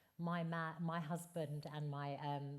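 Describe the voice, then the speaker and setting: Somewhat breathy, a woman speaks at a very deep, low pitch in a monotone, flat intonation. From Essex, England. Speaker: campaigner against domestic abuse. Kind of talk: live podcast interview. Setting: stage with audience.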